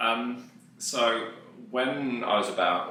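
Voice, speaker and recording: A man talks amid noticeable background noise, his voice carrying audible room echo. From West Midlands, England (Dudley). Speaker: musician and music lecturer. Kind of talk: casual interview chat.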